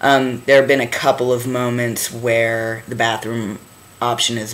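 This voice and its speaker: Over noticeable background noise, a man at a medium pitch talks with monotone, flat intonation. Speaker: vlogger and touring band musician. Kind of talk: casual video diary. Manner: halting, with many fillers.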